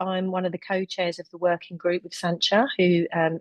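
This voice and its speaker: A woman with a London accent is heard in a dry, close sound with no echo. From London, England. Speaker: health researcher and webinar chair. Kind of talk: webinar presentation. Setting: online webinar.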